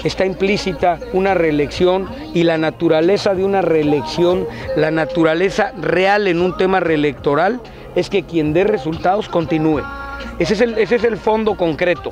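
A high-pitched male voice at a moderate pace, with ordinary pitch variation and very even loudness, dry sound with no echo, and clear music in the background. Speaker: candidate. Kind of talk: interview answer. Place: open country. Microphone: handheld.

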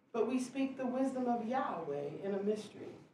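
A woman talks with audible room echo around her and light background noise present. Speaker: scripture reader. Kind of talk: scripture reading. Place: church.

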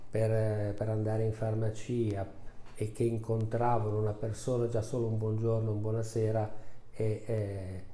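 A man's fairly low, somewhat breathy voice, monotone and flat, fairly slow, with very even loudness and audible room echo. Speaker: family doctor. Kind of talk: interview answer. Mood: calm, reflective. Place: office. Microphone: lapel.

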